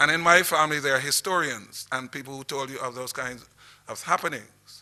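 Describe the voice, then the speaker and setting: In a Barbadian accent, a man speaks at a moderate pace with a bright, sharp tone and ordinary pitch variation. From Barbados, St John parish. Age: 60s. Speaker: historian. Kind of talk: lecture. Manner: halting.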